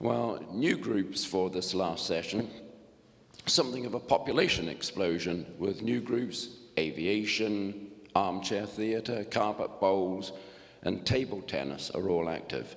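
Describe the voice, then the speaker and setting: A man's fairly low voice at a fairly slow pace, lively in intonation, with audible room echo. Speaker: group coordinator of a retirees' learning club. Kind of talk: annual report speech at a meeting. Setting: church hall meeting with audience. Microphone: echoey PA.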